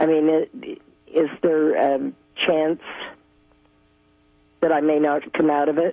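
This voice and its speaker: Speaking at a very slow pace with long, frequent pauses, a woman with a very deep, low voice keeps her loudness very even and her pitch variation ordinary while music plays in the background. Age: 70s. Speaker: caller. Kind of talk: call-in question. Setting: phone call. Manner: halting.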